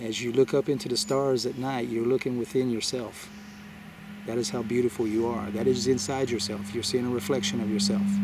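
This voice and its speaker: Over noticeable background noise, a man talks at a fairly quick pace with medium pitch and lively intonation. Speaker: spiritual video blogger. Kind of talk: spiritual talk to viewers. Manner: halting, many fillers.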